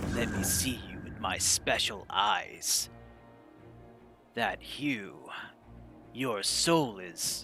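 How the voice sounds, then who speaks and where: Over clear music, a man uses a put-on character voice, fairly low and theatrical with a dramatic tone. He goes very slowly, with long, frequent pauses. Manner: theatrical, dramatic.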